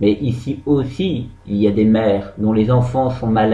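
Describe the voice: Here someone does plain reading aloud.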